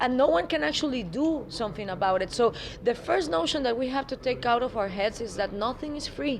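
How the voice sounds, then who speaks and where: Over noticeable background noise, a woman with a Spanish accent talks at a fairly quick pace in a high pitch with very wide pitch swings. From Guatemala. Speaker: political activist spokesperson. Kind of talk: interview.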